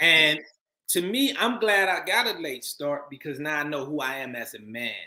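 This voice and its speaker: A man talks in an ordinary speaking voice, fairly high in pitch, with lively intonation at a moderate pace. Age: 50s. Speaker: actor and filmmaker. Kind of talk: interview.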